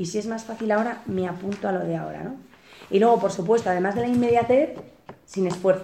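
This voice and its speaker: A woman talks at a very fast pace with ordinary pitch variation while noticeable background noise runs underneath. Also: medium pitch for a woman. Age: 40s. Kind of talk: spiritual retreat talk.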